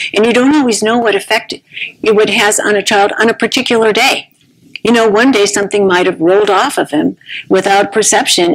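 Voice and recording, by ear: Speaking at a moderate pace, a woman has a medium pitch and a slightly husky edge.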